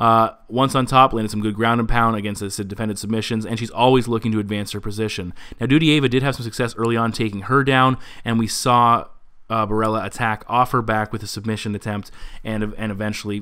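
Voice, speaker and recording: On a very clean recording with a silent background, a man talks at a very fast pace in a bright, sharp tone with monotone, flat intonation. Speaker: MMA predictions show host. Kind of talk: solo fight analysis commentary. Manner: stumbling over words.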